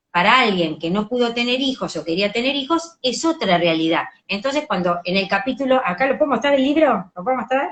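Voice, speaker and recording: Speaking fairly quickly in a Rioplatense accent, a woman uses a high pitch with very wide swings and hardly any pauses. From Argentina. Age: 50s. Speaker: educational psychologist and author. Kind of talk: interview. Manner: animated.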